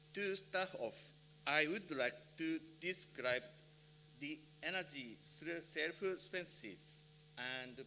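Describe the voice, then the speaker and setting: A man's fairly high, bright and sharp voice in a Japanese accent, very slow, with vocal fry and ordinary pitch variation. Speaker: electrical safety engineer, conference speaker. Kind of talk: conference presentation. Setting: conference hall with interpreters. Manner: halting.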